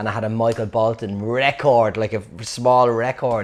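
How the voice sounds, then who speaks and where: At a moderate pace, a man speaks in a Dublin accent. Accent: Dublin Irish. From Dublin, Ireland (Clondalkin). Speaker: storyteller. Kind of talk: personal anecdote. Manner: casual, halting with fillers.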